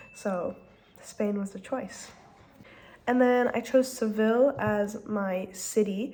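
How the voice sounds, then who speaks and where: A woman speaks very slowly at a fairly high pitch, her intonation fairly even, her loudness swinging widely, and her pauses long and frequent. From France and US, grew up more French. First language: French. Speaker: student vlogger. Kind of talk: casual vlog monologue. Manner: frequent filler ums.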